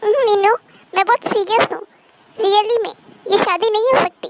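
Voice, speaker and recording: This woman uses a put-on character voice with an extremely high pitch, fairly even intonation and a fairly quick pace. The sound is dry and close, with no echo. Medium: fan dub. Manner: assertive, possessive.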